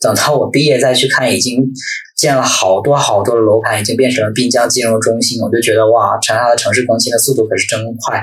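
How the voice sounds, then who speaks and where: A medium-pitched man at a fairly quick pace with fairly even intonation, with audible room echo and noticeable background noise. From Northeast China. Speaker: guest, former university student in the city. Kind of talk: casual chat.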